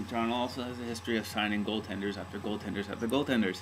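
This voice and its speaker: Noticeable background noise around a man speaking at a fairly low pitch. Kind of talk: casual talk to camera. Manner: hesitant, rambling.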